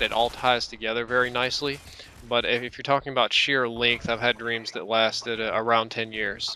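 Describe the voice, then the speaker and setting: Against noticeable background noise, a man talks with monotone, flat intonation. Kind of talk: gaming commentary.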